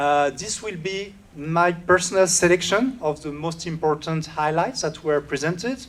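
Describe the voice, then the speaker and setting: Speaking with a French accent, the man has a fairly high pitch. His pace is moderate and his pitch variation ordinary. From France. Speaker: solutions engineer. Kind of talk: conference keynote. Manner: hesitant with many filler sounds.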